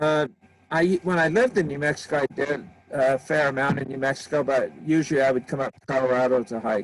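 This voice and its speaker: Talking at a very fast pace, a man with fairly high pitch and ordinary pitch variation swings widely in loudness. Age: 70s. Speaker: hiker. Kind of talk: casual chat.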